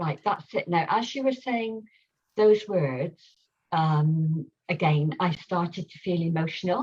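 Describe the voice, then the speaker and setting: A woman with a fairly low pitch talks at a fairly slow pace in a somewhat breathy voice with lively intonation. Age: 70s. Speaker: workshop participant. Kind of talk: sharing circle testimony. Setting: live video call. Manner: halting.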